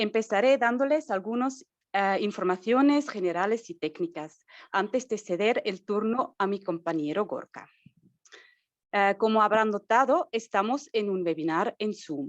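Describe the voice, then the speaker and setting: Speaking at a fairly slow pace, a woman has a non-native accent and a fairly high pitch. Her intonation is lively, and the background is quiet. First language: not Spanish (speaking Spanish). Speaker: marketing and communications staff, webinar host. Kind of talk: webinar introduction. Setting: Zoom webinar.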